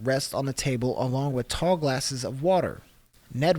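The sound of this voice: An unforced voice reading aloud, pitch shifting by ordinary amounts.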